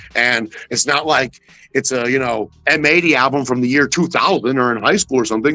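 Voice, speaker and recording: A man talks at a very fast pace. His tone is animated, bright and sharp. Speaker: hip-hop artist and guest. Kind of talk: casual interview chat. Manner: purposeful, hustling delivery.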